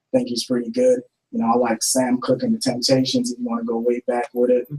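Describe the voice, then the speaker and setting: Here a man with a Jamaican accent talks at a very fast pace in a dark, mellow tone. His pitch is medium and his intonation monotone and flat. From Jamaica, Ocho Rios. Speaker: rapper. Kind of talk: interview.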